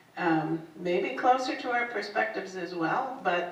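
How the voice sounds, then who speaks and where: Noticeable background noise behind talk at a fairly slow pace. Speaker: workshop participant. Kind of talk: group sharing. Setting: senior center meeting room.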